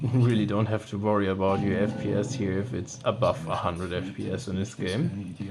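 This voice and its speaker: Over music in the background and with audible room echo, a man with a German accent talks at a moderate pace. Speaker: gaming YouTuber. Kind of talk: gameplay commentary. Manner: casual, hesitant with fillers.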